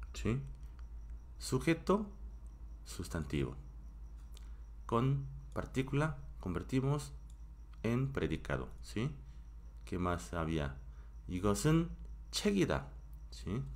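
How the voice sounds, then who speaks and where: Very slow speech in a Korean accent, broken by long, frequent pauses, with audible room echo. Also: man. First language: Korean (speaking Spanish). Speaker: Korean language teacher. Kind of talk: live-streamed language class. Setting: home live stream.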